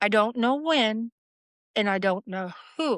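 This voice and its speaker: In a dry, close recording with no echo and a quiet background, a woman uses an ordinary speaking voice at fairly high pitch. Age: 50s. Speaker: paranormal experiencer. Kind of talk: casual chat. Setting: shed.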